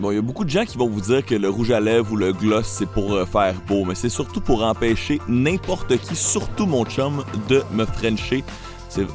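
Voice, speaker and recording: A man talks at a moderate pace and a fairly low pitch. Music plays in the background. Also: ordinary pitch variation. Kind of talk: comedic voiceover.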